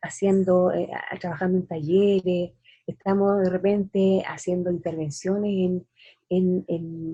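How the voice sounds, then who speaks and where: A dark, mellow, somewhat breathy tone at a fairly slow pace. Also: woman. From Chile. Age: 60s. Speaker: poet. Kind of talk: interview.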